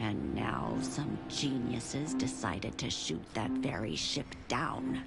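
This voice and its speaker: Over loud background music, the speaker does a put-on character voice at a low pitch. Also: fairly slow pace. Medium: audio drama. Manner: resolute, weary.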